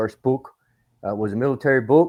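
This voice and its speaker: In an American accent, a man talks at a fairly quick pace. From US South, rural northern Alabama. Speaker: military historian, Marine veteran. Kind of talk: podcast interview. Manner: casual, rambling.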